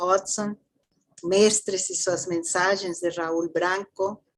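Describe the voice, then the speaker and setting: Her delivery is very slow. This woman's voice sits at a medium pitch. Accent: Mexican. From Mexico. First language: Spanish (speaking Portuguese). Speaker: theosophy lecturer. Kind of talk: lecture.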